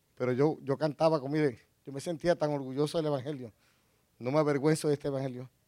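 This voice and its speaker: Delivered at a very fast pace with long, frequent pauses, the voice has a dark, mellow tone and monotone, flat intonation. The very clean recording has a silent background and a dry, close sound with no echo. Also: man, fairly high pitch for a man. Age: 50s. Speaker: pastor. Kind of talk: sermon. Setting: church.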